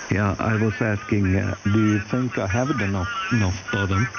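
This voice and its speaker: Against noticeable background noise, a man speaks at a fairly low pitch with fairly even intonation. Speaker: ham radio operator. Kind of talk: radio contact chat. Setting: amateur radio. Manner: slow.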